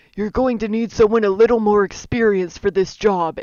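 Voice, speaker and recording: This put-on character voice is croaky and strained. It moves at a fairly quick pace with fairly even intonation. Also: woman, medium pitch for a woman. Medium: solo performance.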